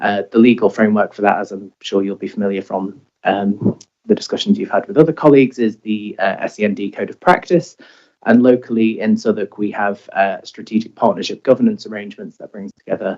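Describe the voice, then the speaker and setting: Fairly low in pitch, a man talks at a fairly quick pace. His loudness swings widely. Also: ordinary pitch variation. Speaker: local government health commissioner. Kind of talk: committee presentation. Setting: council meeting. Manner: hesitant, many fillers; normally loud.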